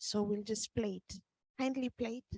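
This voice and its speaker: A woman speaks with a non-native accent at a fairly high pitch and a fairly slow pace. The sound is dry and close, with no echo. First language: not English. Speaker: meeting moderator. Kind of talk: moderating a meeting.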